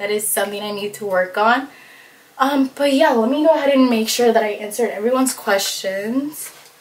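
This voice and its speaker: A woman with a fairly high voice and ordinary pitch variation speaks at a fairly quick pace over noticeable background noise. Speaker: beauty and lifestyle vlogger. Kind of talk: casual vlog. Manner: fast; casual, lots of fillers.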